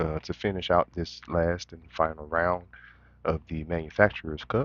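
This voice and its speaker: A soft-spoken, mumbling man with a very deep, low pitch. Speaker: sim racing streamer. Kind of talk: live gameplay commentary.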